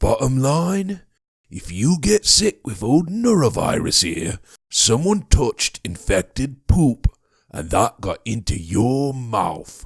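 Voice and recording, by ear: In a put-on character voice, the speaker moves at a fairly slow pace with very wide pitch swings. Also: man, medium pitch for a man.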